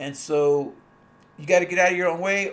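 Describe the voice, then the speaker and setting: Speaking at a moderate pace, a man has a high pitch with ordinary variation. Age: 60s. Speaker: online business coach. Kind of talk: livestream monologue. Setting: livestream at desktop computer. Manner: halting.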